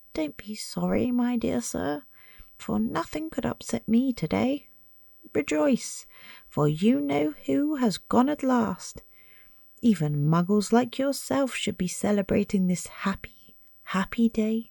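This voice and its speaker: Putting on a character voice, a woman sounds squeaky at a medium pitch, moving at a fairly slow pace with very wide pitch swings. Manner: gleeful.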